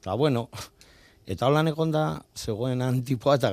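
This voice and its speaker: In a very clean recording with a silent background, a man speaks in a dark, mellow tone with ordinary pitch variation. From Bilbao, Basque Country. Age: 50s. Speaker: bus passenger honoured for driving bus. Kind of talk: radio interview.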